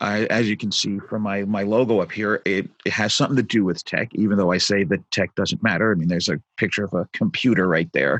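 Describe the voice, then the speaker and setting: This man talks with an American accent in an ordinary speaking voice. His pitch is fairly low and his pace moderate. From New York, Brooklyn. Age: 50s. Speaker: tech entrepreneur and musician. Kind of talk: podcast interview storytelling.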